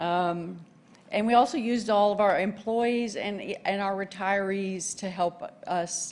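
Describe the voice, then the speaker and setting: A woman with a Texas accent and fairly even intonation. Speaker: award winner, co-op communicator. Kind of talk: acceptance speech. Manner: halting, many fillers.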